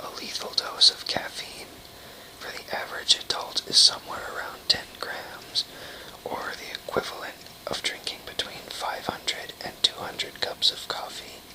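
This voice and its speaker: A man whispers at a moderate pace, his loudness swinging widely. Noticeable background noise sits behind him. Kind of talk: book reading, trivia read aloud to camera. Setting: home recording, informal video.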